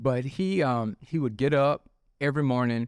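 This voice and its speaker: A man is speaking. He has a Southern US accent. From Mississippi (Tupelo). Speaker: drug testing business owner. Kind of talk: interview.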